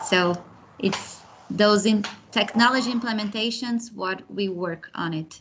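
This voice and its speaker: A woman speaks with a Brazilian accent at a fairly slow pace. Her pitch is fairly high, with ordinary variation. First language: Portuguese. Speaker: project manager, program alumna. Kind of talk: online panel interview.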